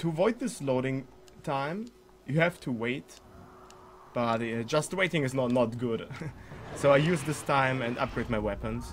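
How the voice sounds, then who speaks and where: At a moderate pace and medium pitch, a man speaks with a German accent, ordinary pitch variation, and long, frequent pauses. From Germany. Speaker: speedrunner streamer. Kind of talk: live gameplay commentary. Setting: live stream. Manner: halting.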